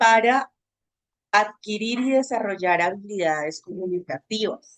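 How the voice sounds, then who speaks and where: The speaker is a woman. Her pitch sits in the medium range. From Bogotá, Colombia. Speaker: social communicator and agency director. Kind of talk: webinar talk.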